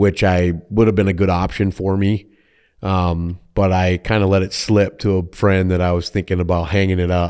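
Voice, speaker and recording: In a Minnesota accent, a man with a very deep, low pitch speaks in a monotone, flat way on a very clean recording with a silent background. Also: moderate pace. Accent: Minnesotan. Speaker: insurance agent, business owner. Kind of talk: podcast interview.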